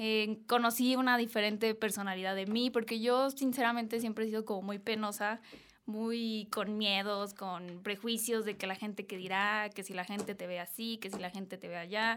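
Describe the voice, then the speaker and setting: A woman with a fairly high pitch speaks in a monotone, flat way, hardly pausing at all. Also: moderate pace. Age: 20s. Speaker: social media influencer and model. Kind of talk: interview. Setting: studio.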